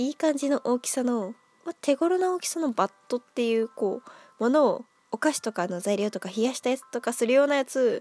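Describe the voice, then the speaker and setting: Her high voice moves with lively intonation at a fairly quick pace, the sound dry and close with no echo. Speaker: solo podcaster. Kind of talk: casual solo talk. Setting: at home with cat on lap. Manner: animated, high-energy; stumbles over words, frequent laughter.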